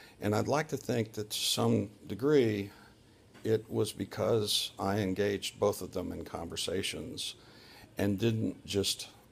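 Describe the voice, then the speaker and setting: The speech moves at a very slow pace, with ordinary pitch variation and vocal fry. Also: man. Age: 60s. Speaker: surgery patient vlogger. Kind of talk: personal video diary. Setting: hospital room.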